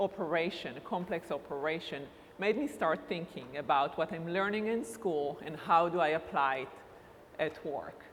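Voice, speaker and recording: Speaking at a moderate pace with an Israeli accent, a woman uses a fairly low pitch and ordinary pitch variation. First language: Hebrew. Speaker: university recruitment director. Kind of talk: conference talk.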